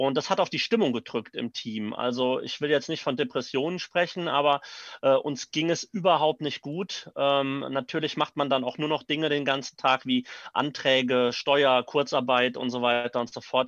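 Delivered at a moderate pace with ordinary pitch variation, the voice has a dry, close sound with no echo and a quiet background. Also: man, fairly high pitch for a man. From Neuwied, Rhineland-Palatinate, Germany. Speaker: actor and theatre director. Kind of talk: interview. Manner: hesitant with fillers.

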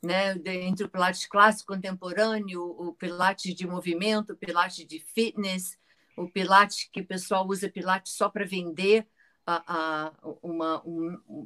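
A woman has an unremarkable speaking voice at a medium pitch, with fairly even intonation and big swings in loudness. The sound is dry and close, with no echo. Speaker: Pilates teacher. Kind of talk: interview.

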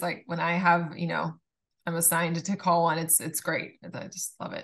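The tone is bright and sharp, in a Californian accent, with a quiet background. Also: woman. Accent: Californian American. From Southern California, Laguna Beach. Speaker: attorney. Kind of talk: casual interview.

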